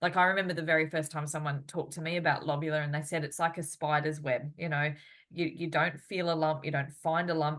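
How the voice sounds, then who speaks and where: Very deep, low-pitched woman's voice at a fairly quick pace, monotone and flat, over a quiet background. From Australia. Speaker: physiotherapist and interviewer. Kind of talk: interview. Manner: halting.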